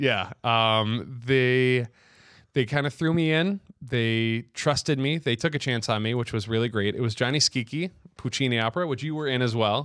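With a Michigan accent, a man of medium pitch speaks at a moderate pace with ordinary pitch variation against a quiet background. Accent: Michigan American. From Rochester, Michigan, near Detroit. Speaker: opera singer. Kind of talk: casual chat. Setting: home bar.

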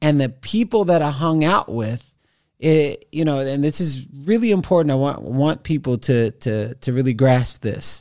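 Here is an unremarkable speaking voice, a man with an American accent at a fairly high pitch and moderate pace. The recording is very clean, with a silent background. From Texas, Houston area. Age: 40s. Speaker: motivational speaker. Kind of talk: casual interview.

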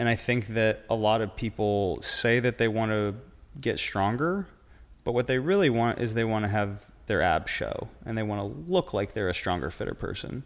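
Speaking at a moderate pace, a man with a plain, everyday voice keeps a medium pitch and ordinary pitch variation. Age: 30s. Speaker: fitness coach. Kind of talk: casual chat.

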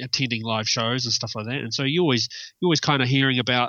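In a New Zealand accent, a man talks at a medium pitch with ordinary pitch variation. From New Zealand, South Island (Milton, near Dunedin). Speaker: metal guitarist. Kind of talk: interview. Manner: halting, many fillers.

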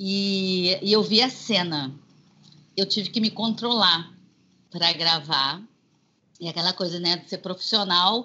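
Talking at a fairly slow pace with long, frequent pauses, a woman at a medium pitch shows ordinary pitch variation and big swings in loudness. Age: 50s. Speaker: singer and voice actress. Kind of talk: interview. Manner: animated.

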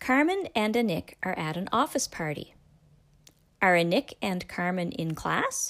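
In a very clean recording with a silent background, a woman with a Canadian accent speaks at a fairly slow pace. Her medium-pitched voice has lively intonation and is an unremarkable speaking voice. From Canada. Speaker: English teacher. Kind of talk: language lesson. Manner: slow, clear enunciation.

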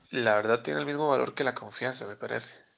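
The voice carries vocal fry and lively intonation. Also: man. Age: 20s. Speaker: journalist and fact-checker. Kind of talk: interview. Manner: halting, frequent repetitions and fillers.

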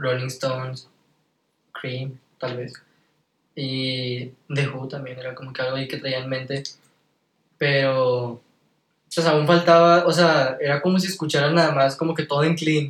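Somewhat breathy and fairly slow, the voice keeps a fairly even intonation, with big swings in loudness and long, frequent pauses. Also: man, fairly high pitch for a man. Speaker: singer and musician. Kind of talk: casual chat.

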